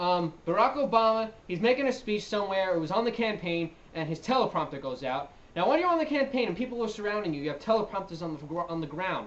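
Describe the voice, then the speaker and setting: Very fast speech over noticeable background noise. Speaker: video commentator. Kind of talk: casual reaction commentary. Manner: stuttering.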